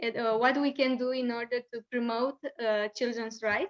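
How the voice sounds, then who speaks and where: At a fairly slow pace, a woman talks in a Romanian accent. The sound is dry and close, with no echo. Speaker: children's rights NGO education coordinator. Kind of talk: lecture. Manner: halting.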